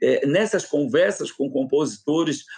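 There is lively intonation in this man's speech. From Florianópolis, Santa Catarina, Brazil. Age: 50s. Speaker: samba researcher. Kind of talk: interview.

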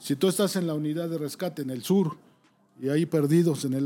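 In a very clean recording with a silent background, a man speaks quickly-ish at a fairly quick pace, his fairly high voice dark and mellow in tone with fairly even intonation. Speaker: rescue service deputy director. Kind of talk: casual chat.

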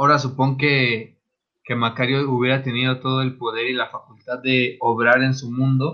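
Speaking in a Mexican accent, a man talks at a moderate pace and a medium pitch with monotone, flat intonation. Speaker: podcast co-host. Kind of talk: casual chat.

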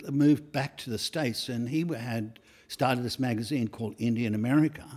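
This is a man speaking with an Australian accent. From Australia, Sydney. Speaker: portrait photographer. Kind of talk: interview. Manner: halting.

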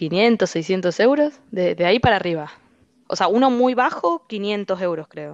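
A woman with a plain, everyday voice speaks at a medium pitch and a fairly slow pace, her intonation lively. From Argentina. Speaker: finance professional living abroad. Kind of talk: casual interview chat.

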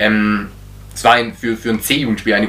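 Bright and sharp in tone, a man with a fairly low pitch talks at a moderate pace. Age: 20s. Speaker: handball coach. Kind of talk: casual interview. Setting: on camera. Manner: halting, many repetitions and fillers.

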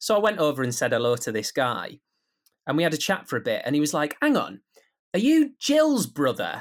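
Speaking at a fairly quick pace with a Teesside accent, a man is heard in a very clean recording over a silent background. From Teesside, north-east England. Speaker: radio sports presenter. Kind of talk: casual interview chat.

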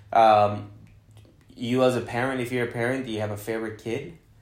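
The speech comes at a fairly quick pace in a monotone, flat intonation. Audible room echo is present. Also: man. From Guadalajara, Mexico. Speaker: podcast host, real estate agent. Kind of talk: casual chat.

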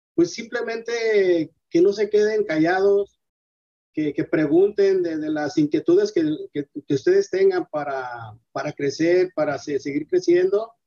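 This man talks at a fairly slow pace with high pitch, very wide pitch swings and a dark, mellow tone, all in a dry, close sound with no echo. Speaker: entrepreneur, detergent manufacturer. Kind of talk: interview. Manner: halting, repeats words.

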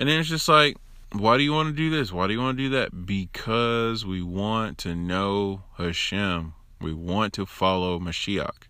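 A man with a fairly low pitch speaks at a moderate pace, his bright, sharp tone energetic and his intonation lively, on a very clean recording with a silent background. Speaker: religious teacher giving a Torah portion talk. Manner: energetic, conversational.

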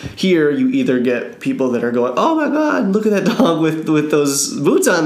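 Fairly quick male speech in an American accent, noticeable background noise behind it. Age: 30s. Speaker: podcast host. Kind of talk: casual interview.

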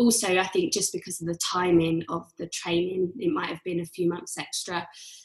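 A woman's medium-pitched voice with a London accent. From London, England. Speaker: yoga teacher and coach. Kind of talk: casual chat.

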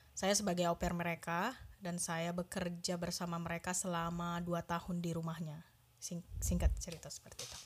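A woman's fairly low, somewhat breathy voice, fast-ish and monotone and flat, with big swings in loudness. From Indonesia, Medan (North Sumatra). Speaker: cook. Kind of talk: casual interview.

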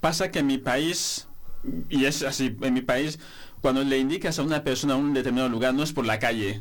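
A man's normal speaking voice at a medium pitch, a fairly quick pace, ordinary pitch variation and very even loudness. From Equatorial Guinea. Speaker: master's student, journalist. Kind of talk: radio panel discussion.

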